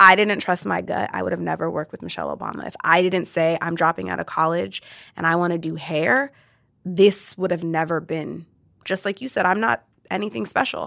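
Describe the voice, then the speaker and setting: A woman's fairly low voice with an American accent, bright and sharp, with vocal fry, ordinary pitch variation, a fairly quick pace, and a very clean recording over a silent background. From US West Coast, Orange County. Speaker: hairstylist and salon owner. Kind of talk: casual conversation.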